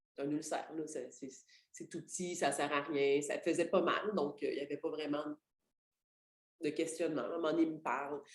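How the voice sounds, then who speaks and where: A woman with a very deep, low pitch talks at a moderate pace with fairly even intonation and long, frequent pauses. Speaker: network marketing leader. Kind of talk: motivational talk. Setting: group call. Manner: halting.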